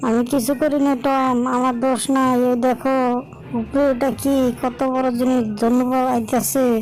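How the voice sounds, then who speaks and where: Over clear background noise, a female-sounding voice does a put-on character voice in a high pitch for a woman, with a playful tone at a moderate pace. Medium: fan dub. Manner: playful, innocent.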